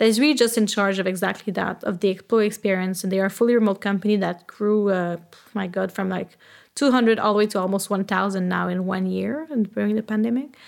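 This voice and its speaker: Speaking at a very fast pace, a woman keeps a medium pitch and fairly even intonation. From Quebec. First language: French. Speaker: remote workplace strategy consultant. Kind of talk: podcast interview. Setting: remote call.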